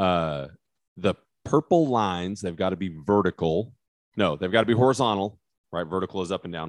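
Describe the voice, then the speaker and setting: In a very deep, low pitch with ordinary pitch variation, a man with an American accent speaks at a fairly quick pace, with a dry, close sound, no echo, and a quiet background. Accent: West Texas, comes out when talking hunting. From West Texas. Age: 40s. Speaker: criminal defense attorney, podcast co-host. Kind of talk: casual chat.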